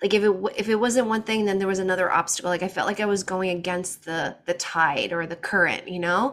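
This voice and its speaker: Noticeable background noise is heard as a woman talks at a fairly quick pace with hardly any pauses. Her pitch is medium and her intonation fairly even. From US, child of Portuguese immigrants. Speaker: breathwork facilitator and sleep coach. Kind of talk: interview.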